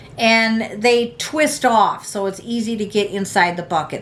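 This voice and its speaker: A woman speaks with an American accent. Her pitch is fairly high and her pace moderate. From United States. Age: 60s. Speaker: prepping vlogger. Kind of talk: casual tutorial. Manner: halting, many fillers.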